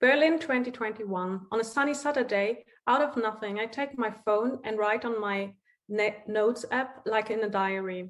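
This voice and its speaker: A woman with a German accent, fairly high in pitch, at a moderate pace. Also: ordinary pitch variation. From East Germany, Saxony-Anhalt. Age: 30s. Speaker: writer and doctoral researcher. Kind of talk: lecture. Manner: halting.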